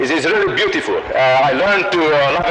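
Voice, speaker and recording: A man speaks with a Hungarian accent. Loud background noise sits behind him. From Hungary. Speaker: professor of landscape architecture. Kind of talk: lecture. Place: hall. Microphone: old recording.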